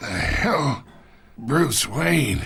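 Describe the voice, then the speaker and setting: A man uses a put-on character voice that is raspy and fairly high-pitched. His pitch swings very widely. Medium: short film. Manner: smug, patronizing.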